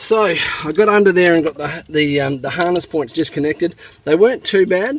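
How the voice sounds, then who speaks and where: A man talks with an Australian accent. Noticeable background noise is present. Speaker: car repair video maker. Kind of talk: tutorial. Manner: casual, with many fillers.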